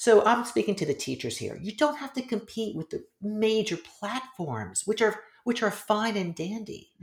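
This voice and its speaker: Using vocal fry, a woman talks at a moderate pace with a fairly high pitch and ordinary pitch variation. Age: 50s. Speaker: yoga teacher and author. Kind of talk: casual chat.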